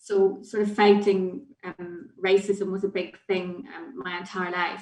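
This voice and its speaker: A woman with a Northern Irish accent speaks at a fairly slow pace in a medium pitch, with ordinary pitch variation and big swings in loudness. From Northern Ireland. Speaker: children's charity head. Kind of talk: panel discussion.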